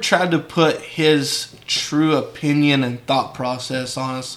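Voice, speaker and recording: This is a man with a West Texas accent. His pitch is fairly high. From West Texas (San Angelo). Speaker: sheep rancher. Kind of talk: casual interview.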